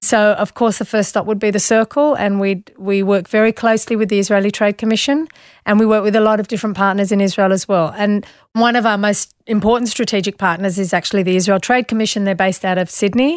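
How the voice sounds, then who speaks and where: A woman's very fast speech in an Australian accent, with fairly even intonation and very even loudness. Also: medium pitch for a woman, very clean recording, silent background. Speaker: business chief executive. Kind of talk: interview.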